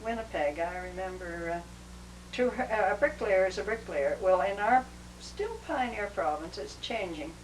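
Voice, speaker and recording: Noticeable background noise accompanies a woman's voice. She speaks at a moderate pace. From British Columbia, Canada. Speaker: retired social worker. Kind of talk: oral history interview. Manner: halting.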